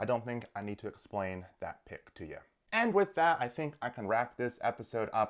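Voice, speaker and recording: In a very clean recording with a silent background, a man at medium pitch talks at a fairly quick pace with lively intonation and big swings in loudness. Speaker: sports commentator. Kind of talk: casual commentary. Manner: fast.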